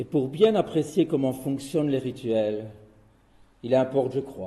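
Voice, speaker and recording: A man talks in a dark, mellow tone that is somewhat breathy. His pace is fairly slow. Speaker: chemist giving a talk on rituals. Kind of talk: lecture.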